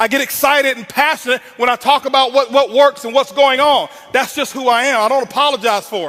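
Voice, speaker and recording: Raised and projected, a man's extremely high-pitched voice carries an intense tone at a fairly quick pace, with fairly even intonation over noticeable background noise. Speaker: network marketing speaker. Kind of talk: motivational speech. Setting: stage with audience. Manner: loud, intense.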